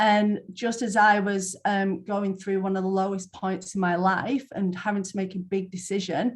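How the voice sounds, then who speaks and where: A woman speaks at a moderate pace in a somewhat breathy voice with monotone, flat intonation. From northern England, near Manchester. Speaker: Bowen therapist. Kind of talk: interview.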